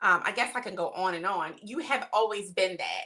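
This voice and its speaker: A woman with an American accent speaks in a medium pitch with ordinary pitch variation, an unremarkable speaking voice. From Maryland. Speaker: podcast co-host. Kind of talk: casual chat.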